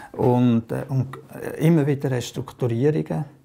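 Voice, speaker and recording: With vocal fry and fairly even intonation, a man speaks in a dark, mellow tone. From Aargau, Switzerland. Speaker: trade unionist and politician. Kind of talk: oral history interview answer. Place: home room.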